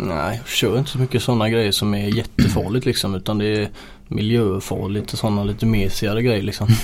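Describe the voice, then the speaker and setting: This man speaks at a very fast pace in a fairly low pitch. His intonation stays fairly even. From Gothenburg northern archipelago, Sweden. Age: 20s. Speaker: truck driver. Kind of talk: casual interview.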